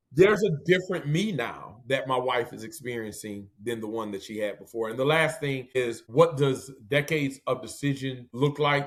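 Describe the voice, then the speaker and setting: A man with an American accent and an ordinary speaking voice, medium pitch, moderate pace, hardly any pauses and big swings in loudness. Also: lively intonation. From Detroit, US Midwest. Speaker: pastor. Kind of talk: interview.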